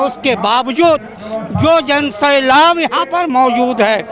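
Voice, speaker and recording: A man talks with an extremely high pitch and ordinary pitch variation while noticeable background noise runs underneath. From Bihar, Katihar. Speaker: party supporter at rally. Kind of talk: street interview.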